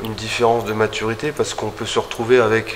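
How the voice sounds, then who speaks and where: A man speaks at a medium pitch and a fairly quick pace over noticeable background noise. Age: 50s. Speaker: winemaker. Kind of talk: winery tour explanation. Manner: halting, many hesitations.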